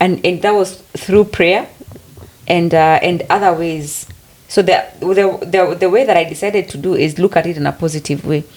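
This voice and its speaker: A woman with a Kenyan accent, fairly low in pitch, at a moderate pace with fairly even intonation over noticeable background noise. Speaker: podcast co-host. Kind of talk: casual chat.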